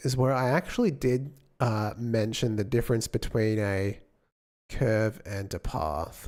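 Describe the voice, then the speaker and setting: On a very clean recording with a silent background, the speaker talks at a fairly slow pace with an Australian accent. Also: man. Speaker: game developer streamer. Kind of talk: live stream chat. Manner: casual, hesitant with fillers.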